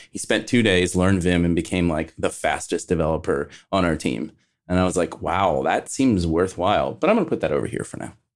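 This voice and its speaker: In a very clean recording with a silent background, a man with a very deep, low pitch and vocal fry speaks at a fairly quick pace. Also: ordinary pitch variation. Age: 40s. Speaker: podcast co-host. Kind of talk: casual chat.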